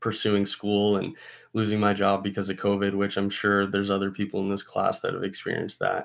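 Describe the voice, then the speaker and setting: Against a quiet background, a man with a General American accent talks in a fairly low pitch. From Arizona (Scottsdale). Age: 20s. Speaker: college student and chef. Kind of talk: class self-introduction video. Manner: casual with filler words. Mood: calm, reflective. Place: home room. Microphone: webcam.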